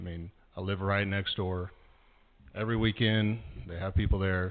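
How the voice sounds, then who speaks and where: A man with a fairly low pitch speaks in a monotone, flat way. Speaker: resident speaking at public comment. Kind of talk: public comment at council meeting. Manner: loud.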